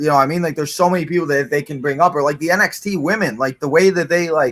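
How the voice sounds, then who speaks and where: A man speaks loudly in a bright, sharp tone with lively intonation. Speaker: wrestling watch-along co-commentator. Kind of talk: casual chat. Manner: filler-heavy, rambling pace with many 'like's.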